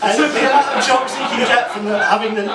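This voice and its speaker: A man with a northern English accent at a fairly quick pace, amid noticeable background noise and audible room echo. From northern England, Manchester. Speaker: stand-up comedian. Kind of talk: stand-up. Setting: stage with audience. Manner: halting, many fillers.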